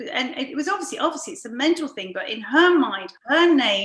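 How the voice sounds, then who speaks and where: A woman is speaking. She has a British accent. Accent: very British. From London, England. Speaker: podcast host and coach. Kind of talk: interview.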